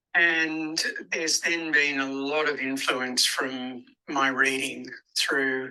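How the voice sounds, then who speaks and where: Someone speaks at a very slow pace with an Australian accent. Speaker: spoken word artist and performer. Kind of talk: interview answer. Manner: hesitant, reflective.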